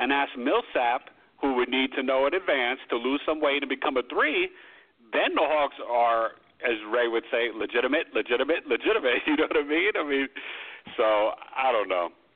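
A man with an ordinary speaking voice talks at a moderate pace in a fairly high pitch, with ordinary pitch variation and very even loudness. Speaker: sports radio host. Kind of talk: sports talk radio show. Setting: phone-in radio show.

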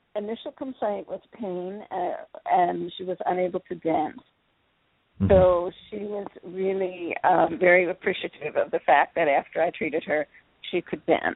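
A woman with a plain, everyday voice and an American accent speaks at a moderate pace and medium pitch, with ordinary pitch variation. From Philadelphia, US. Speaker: energy healer. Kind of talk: radio interview. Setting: radio show.

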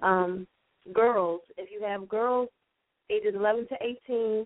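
Her voice is medium in pitch for a woman, with fairly even intonation. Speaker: nonprofit founder. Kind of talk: interview.

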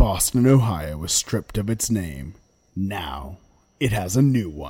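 A man uses a put-on character voice, fairly low in pitch, at a fairly slow pace. His intonation is lively, and his loudness swings widely. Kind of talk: announcer. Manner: dramatic, ominous.

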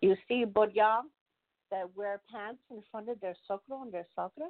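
A woman speaks at a fairly quick pace in a plain, everyday voice, her pitch sitting in the medium range. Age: 40s. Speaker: talk show panelist. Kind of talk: casual discussion.

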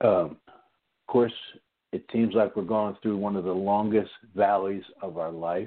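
A man with an American accent and an unremarkable speaking voice, fairly low and fairly slow, with fairly even intonation and big swings in loudness. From US Northeast. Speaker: radio host. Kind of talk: radio interview. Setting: studio.

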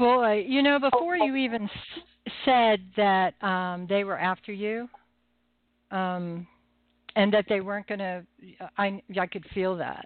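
A very slow pace with long, frequent pauses and ordinary pitch variation. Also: woman, medium pitch for a woman. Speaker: psychic medium and radio host. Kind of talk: live call-in psychic readings show. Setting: phone-in radio show. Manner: humorous, chatty, friendly.

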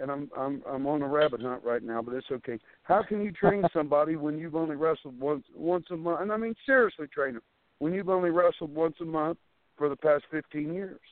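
A man talks at a fairly quick pace with an American accent, his pitch fairly high and its variation ordinary. It is a plain, everyday voice. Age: 50s. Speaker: professional wrestler. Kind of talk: interview.

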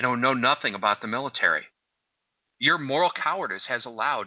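A man with an ordinary speaking voice. His pitch varies in an ordinary way. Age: 50s. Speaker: radio host, former army officer. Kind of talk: talk radio monologue.

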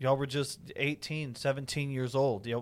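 Fairly high in pitch, a man with an unremarkable speaking voice keeps his intonation fairly even. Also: very clean recording, silent background. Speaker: radio co-host. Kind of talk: interview.

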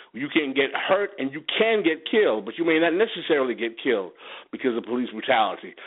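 An American-accented man talks at a very fast pace. His pitch swings very widely. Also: fairly high pitch for a man. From New York City, Haitian family. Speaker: political commentator. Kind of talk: radio interview. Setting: internet radio.

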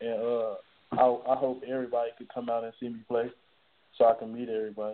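Here is a man with a plain, everyday voice at a medium pitch. He talks at a fairly quick pace. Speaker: college football player. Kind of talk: phone interview. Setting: phone call. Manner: casual, young-sounding.

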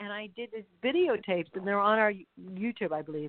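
Fairly high-pitched female speech, its pitch moving by an ordinary amount. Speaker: podcast host and angel practitioner. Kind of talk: casual interview chat. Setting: live radio show, remote call. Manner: animated, laughs often.

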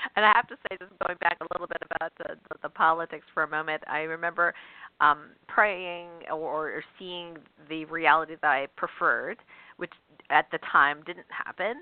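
A woman in a normal speaking voice, fairly low-pitched, talks at a moderate pace with big swings in loudness. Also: fairly even intonation. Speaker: radio show host and author. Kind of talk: call-in radio interview. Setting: radio studio with phone lines. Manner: warm, chatty, frequent fillers.

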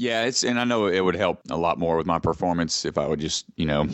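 A man with a Southern US accent speaks at a very fast pace, his very deep, low voice moving with ordinary pitch variation. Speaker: ninja athlete and personal trainer. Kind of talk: casual interview.

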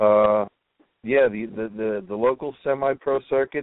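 A man with a New York accent speaks at a fairly slow pace. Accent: New York City. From Brooklyn, New York City. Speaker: blogger and sports writer. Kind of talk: casual chat.

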